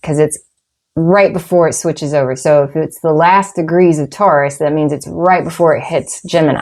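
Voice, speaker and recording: A woman's very deep, low voice in a Southern US accent, at a moderate pace with fairly even intonation. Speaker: tarot reader. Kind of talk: tarot and astrology reading. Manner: casual, with many fillers.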